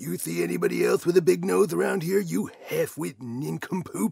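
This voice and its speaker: At a moderate pace, a man performs a put-on character voice. The pitch is fairly high. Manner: brash, insulting.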